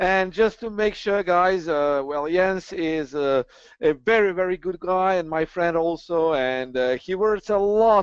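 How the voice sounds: The man's voice is fairly high, clear and smooth, with ordinary pitch variation. He talks at a fairly slow pace, and the sound is dry and close with no echo.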